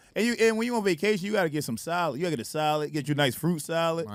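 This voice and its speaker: Talking at a very fast pace with a Philadelphia accent, a man uses a high pitch and lively intonation. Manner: casual, slangy.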